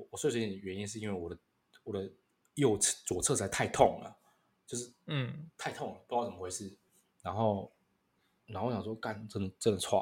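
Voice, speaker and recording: A man's fairly low, somewhat breathy voice at a fairly quick pace, with ordinary pitch variation, big swings in loudness, and long, frequent pauses. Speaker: podcast co-host. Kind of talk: casual chat. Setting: online call.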